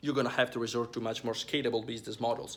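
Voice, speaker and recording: A man talks with an Italian accent. His tone is bright and sharp. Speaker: online business coach. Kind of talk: business advice talk to camera. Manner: hesitant, many fillers and repetitions.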